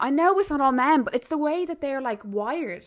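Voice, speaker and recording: A very fast, high-pitched woman with an Irish accent and lively intonation. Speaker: podcast host. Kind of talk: casual chat. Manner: fast talker.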